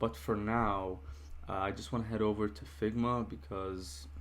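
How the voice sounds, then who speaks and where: A somewhat breathy man at a very slow pace, with audible room echo around him. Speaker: software developer vlogger. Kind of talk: casual vlog narration. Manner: hesitant, many fillers.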